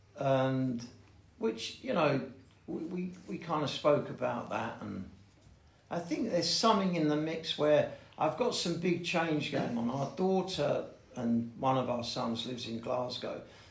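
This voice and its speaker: A man with a London accent speaks at a fairly slow pace in a fairly high voice, his intonation lively, with audible room echo and noticeable background noise. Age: 60s. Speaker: recovering addict sharing at a meeting. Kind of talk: recovery share. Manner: halting.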